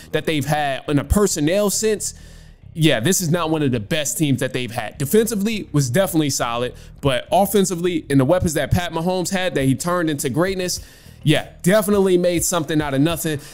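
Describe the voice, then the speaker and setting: Very fast speech from a man with ordinary pitch variation, faint music in the background. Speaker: podcast host. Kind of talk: commentary responding to caller. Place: home room. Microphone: studio mic.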